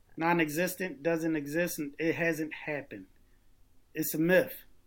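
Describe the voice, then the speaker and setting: A normal speaking voice with an American accent, fairly even intonation and a fairly slow pace, on a very clean recording with a silent background. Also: man. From US Northeast, Philadelphia. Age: 40s. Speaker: political candidate and military veteran. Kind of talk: interview.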